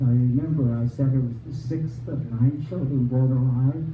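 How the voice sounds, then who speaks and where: A man with an American accent speaks at a moderate pace in a monotone, flat intonation. Noticeable background noise and audible room echo accompany him. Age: 90s. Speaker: retirement community resident telling his life story. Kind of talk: personal storytelling to a live audience. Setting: room with live audience. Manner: halting, with many fillers.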